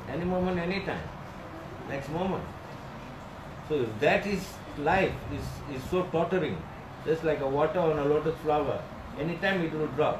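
Moderate pace and ordinary pitch variation, with noticeable background noise. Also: man. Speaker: spiritual teacher. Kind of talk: sermon. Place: home room. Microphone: phone near.

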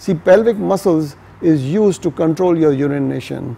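A man's fairly high voice with a dark, mellow tone. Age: 60s. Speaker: fitness and yoga educator. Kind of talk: casual educational talk to camera. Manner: conversational, explanatory. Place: home room.

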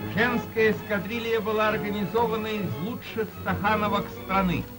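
Clear music plays behind a man speaking at a moderate pace. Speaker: newsreel announcer. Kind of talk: 1930s Soviet newsreel narration. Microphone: old recording.

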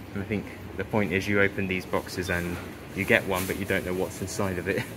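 Noticeable noise sits behind a man who talks at a fairly quick pace. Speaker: vlogger filming a shop. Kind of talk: casual vlog chat. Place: shop.

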